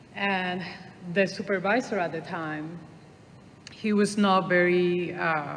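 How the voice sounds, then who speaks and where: Heard with audible room echo, a woman in a Puerto Rican accent speaks with fairly low pitch and fairly even intonation. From Puerto Rico. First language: Spanish. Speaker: traffic engineer. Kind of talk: panel discussion.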